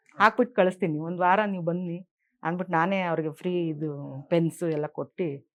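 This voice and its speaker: Fairly even intonation in a woman's fairly low-pitched voice. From Karnataka, Bengaluru. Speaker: retired stenographer, alternative therapy student. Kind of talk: testimony. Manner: halting.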